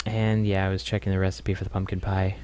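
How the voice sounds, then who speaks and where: Talking at a very fast pace, a man uses a very deep, low pitch. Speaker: gaming video creator. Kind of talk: voice-over commentary on gameplay. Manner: casual, hesitant with fillers.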